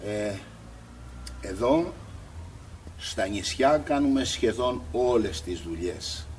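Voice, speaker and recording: A man with a fairly low pitch speaks at a very slow pace, using very wide pitch swings and long, frequent pauses. Audible room echo can be heard. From Greece, Spetses island. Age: 60s. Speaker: builder and pebble mosaic craftsman. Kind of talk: interview. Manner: hesitant, with fillers.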